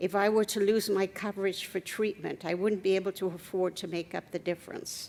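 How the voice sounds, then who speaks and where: This woman's medium-pitched voice moves at a moderate pace, its intonation monotone and flat. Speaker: patient advocate. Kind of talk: testimony.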